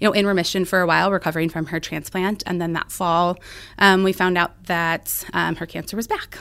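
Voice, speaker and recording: On a very clean recording with a silent background, a woman with an American accent speaks at a moderate pace and medium pitch in a bright, sharp tone with ordinary pitch variation. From central Illinois. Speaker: pediatric cancer doctor. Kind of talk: interview.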